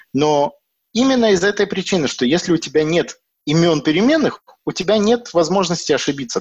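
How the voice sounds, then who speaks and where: This man's intonation is lively. His pitch sits high. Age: 30s. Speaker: software developer. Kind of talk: casual chat. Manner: halting.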